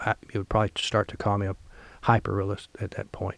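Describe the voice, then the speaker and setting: A man talks at a fairly quick pace. The recording is very clean and the background silent. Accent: American. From Missouri bootheel, US South. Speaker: painter. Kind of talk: relaxed interview conversation about art career.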